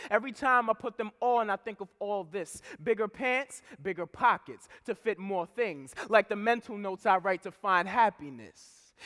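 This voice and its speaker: Raised and projected, a man's voice carries a bright, sharp tone with ordinary pitch variation at a moderate pace, the sound dry and close with no echo. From Providence, Rhode Island. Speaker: spoken word poet. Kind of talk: spoken word poetry performance. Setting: live conference stage.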